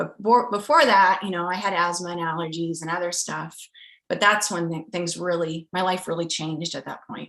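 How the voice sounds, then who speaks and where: At a fairly quick pace, a woman speaks in a fairly low pitch with a bright, sharp tone. Her intonation stays fairly even while her loudness swings widely. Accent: American. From rural US Midwest. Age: 30s. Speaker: scientist. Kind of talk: interview.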